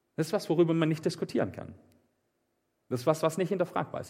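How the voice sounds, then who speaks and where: Fairly high for a man, this animated voice carries vocal fry in a very clean recording with a silent background. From southern Germany, Swabian Alb (Meßstetten). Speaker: preacher. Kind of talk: sermon. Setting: live church service, also livestreamed.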